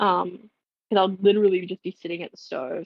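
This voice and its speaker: Delivered at a moderate pace, an ordinary speaking voice comes through with a dry, close sound with no echo. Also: woman. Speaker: streamer. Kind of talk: live cooking stream chat. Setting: home kitchen.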